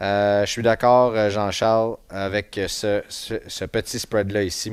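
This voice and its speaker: At a very slow pace, a man with a medium pitch speaks in a very clean recording with a silent background. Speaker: sports podcast host. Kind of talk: casual chat. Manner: muffled by face mask.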